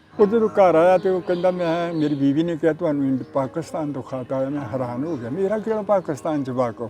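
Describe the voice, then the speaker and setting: Noticeable background noise sits under the speech. The intonation rises and falls in a lively way. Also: man, fairly high pitch for a man. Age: 80s+. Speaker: partition eyewitness. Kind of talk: interview storytelling.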